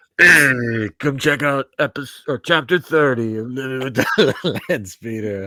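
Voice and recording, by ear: A man's gruff put-on character voice at a medium pitch and a fairly slow pace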